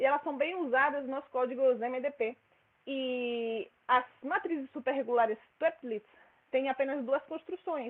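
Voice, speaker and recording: With a Spanish accent, a woman speaks at high pitch with ordinary pitch variation. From Spain. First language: Spanish (speaking Portuguese). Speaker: mathematics researcher. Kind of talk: lecture. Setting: seminar room with audience. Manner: fast.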